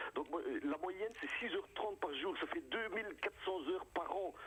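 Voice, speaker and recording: This man's pitch swings very widely as he talks at a medium pace. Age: 60s. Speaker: comedian. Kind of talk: radio interview. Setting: phone call. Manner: animated.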